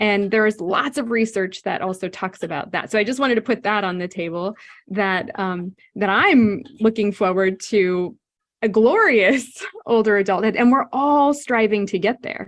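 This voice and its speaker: A woman with an American accent and a normal speaking voice, medium pitch, ordinary pitch variation and a moderate pace. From California. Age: 60s. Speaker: psychologist. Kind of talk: interview.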